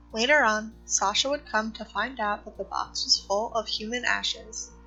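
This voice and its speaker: A woman's voice with big swings in loudness over music in the background. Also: moderate pace. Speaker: mystery channel narrator. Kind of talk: mystery story narration.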